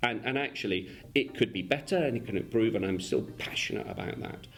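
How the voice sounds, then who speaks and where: A man with a slight English accent talks fairly quickly with lively intonation. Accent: slightly English. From Argentina. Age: 40s. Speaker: insurance company executive. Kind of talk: interview. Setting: office. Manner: hesitant, many repeated words.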